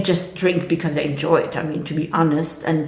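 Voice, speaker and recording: A woman with a fairly low voice speaks over noticeable background noise, and the room echo is audible. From French-speaking country. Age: 60s. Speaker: vlogger. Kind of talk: casual monologue. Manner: hesitant, many fillers.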